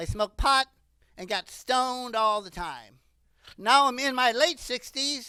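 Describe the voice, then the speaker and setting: A woman speaks with a high pitch and a bright, sharp tone, with ordinary pitch variation and big swings in loudness. The sound is dry and close, with no echo. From US Midwest (Ohio). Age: 60s. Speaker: comedian. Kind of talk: stand-up.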